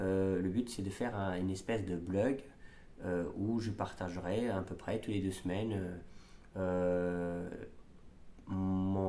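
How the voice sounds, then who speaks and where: The voice has a dark, mellow tone and moves at a very slow pace, with audible room echo. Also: man. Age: 30s. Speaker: amateur triathlete vlogger. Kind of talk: casual vlog. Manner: halting, many fillers.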